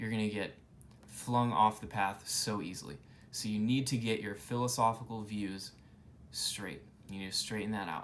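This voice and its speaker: Audible room echo surrounds a man's fairly low voice. He keeps a moderate pace and fairly even intonation. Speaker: YouTuber explaining Buddhism. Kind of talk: informal lecture to camera. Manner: casual, with fillers and restarts.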